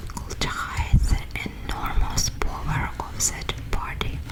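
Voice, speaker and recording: Over noticeable background noise, a woman is whispering at a very slow pace. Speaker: ASMR artist. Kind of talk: bedtime book reading. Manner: whispered, soft.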